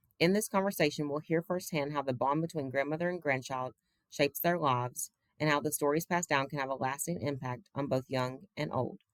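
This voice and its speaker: The delivery is fairly quick, with ordinary pitch variation. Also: woman, very deep, low pitch for a woman. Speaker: graduate student, interviewer. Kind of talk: interview questions and introduction.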